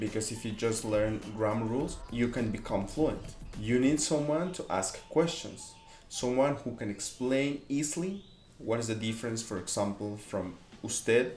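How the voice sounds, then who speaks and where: With audible room echo and music in the background, a man with a Spanish accent speaks at a moderate pace in a medium-pitched voice with ordinary pitch variation. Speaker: language teacher. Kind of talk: tutorial.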